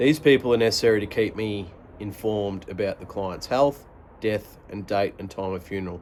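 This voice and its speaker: A man in an Australian accent talks with a fairly low pitch, keeping a moderate pace. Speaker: product reviewer and audiobook-style reader. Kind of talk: book reading in first person.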